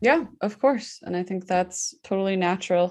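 A woman's unremarkable speaking voice, fairly low-pitched and fairly slow, against a quiet background. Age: 20s. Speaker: podcast host. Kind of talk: casual chat.

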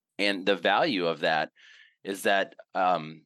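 The background is quiet as a man with an American accent speaks. His pitch is very deep and low, with a bright, sharp tone. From US South, Mississippi. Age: 40s. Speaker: outdoor gear company CEO. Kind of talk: casual interview. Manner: halting, many fillers.

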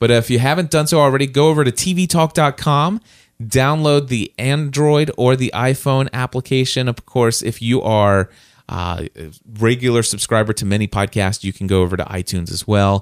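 A man's ordinary speaking voice, an ordinary speaking voice at medium pitch, with lively intonation and a moderate pace, dry and close with no echo, on a very clean recording with a silent background. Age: 40s. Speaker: podcast host. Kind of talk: casual chat; sponsor read.

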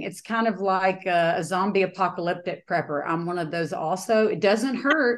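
A woman talks at a moderate pace and medium pitch over a quiet background. It is an ordinary speaking voice. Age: 40s. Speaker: home builder and business coach. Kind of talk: interview.

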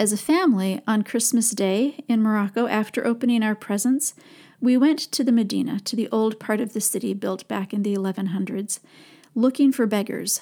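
Somewhat breathy, a woman with an American accent speaks at a moderate pace and a fairly high pitch, her tone dark and mellow and her pitch variation ordinary. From Minnesota, US (St. Paul). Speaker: podcast host. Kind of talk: personal reflective monologue.

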